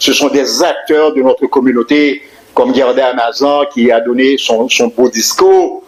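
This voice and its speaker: Over noticeable background noise, a man speaks at a fairly slow pace with very even loudness. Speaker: teacher. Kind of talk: public speech. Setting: community event hall with audience. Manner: halting.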